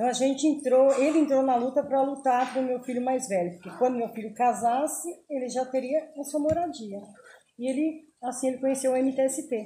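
Ordinary pitch variation comes with a fairly quick pace. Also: woman, high pitch for a woman. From São Paulo, Brazil. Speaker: community leader. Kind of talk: interview.

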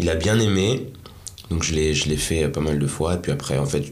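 A man with a very deep, low pitch speaks at a moderate pace with ordinary pitch variation. There is audible room echo and noticeable background noise. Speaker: rapper and musician. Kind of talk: casual interview. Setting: studio.

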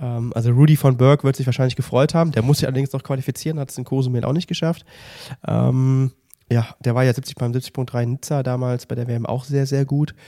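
A man speaks at a fairly quick pace in a medium pitch, the sound dry and close with no echo. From Mönchengladbach, western Germany. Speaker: triathlon podcast co-host. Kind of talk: casual chat. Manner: animated.

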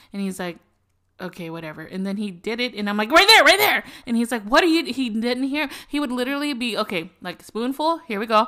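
A woman talks at a fairly quick pace and fairly high pitch with an animated tone. Her pitch swings very widely and her loudness swings a lot. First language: not English. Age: 40s. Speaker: podcast co-host. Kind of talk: casual chat.

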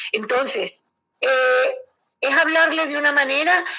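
In a raised, projected voice, a woman speaks at a fairly slow pace with a high pitch, a bright, sharp tone and very wide pitch swings. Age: 60s. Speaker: elderly caregiver. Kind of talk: interview.

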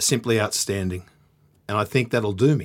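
With an Australian accent, a man speaks at a fairly quick pace with lively intonation. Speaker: boxing podcast host. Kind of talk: casual chat. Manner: animated.

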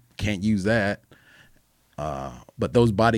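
This man has an ordinary speaking voice at a fairly low pitch. His pitch variation is ordinary. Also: very clean recording, silent background. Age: 40s. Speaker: professional fighter. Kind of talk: casual chat.

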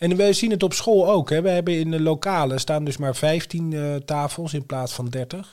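A man with an unremarkable speaking voice talks at a moderate pace with hardly any pauses. His fairly high pitch shows ordinary pitch variation. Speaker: podcast co-host. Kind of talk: casual chat.

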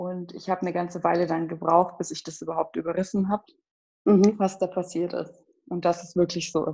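Speaking at a fairly quick pace, a woman with a fairly low pitch keeps a monotone, flat intonation. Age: 20s. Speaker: bereaved sibling. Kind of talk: personal testimony. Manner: halting.

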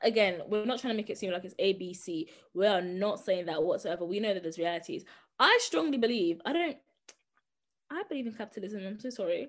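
A woman talks at a fairly quick pace and medium pitch. Her intonation is lively. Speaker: podcast co-host, sociology student. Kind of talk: casual chat. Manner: variable volume.

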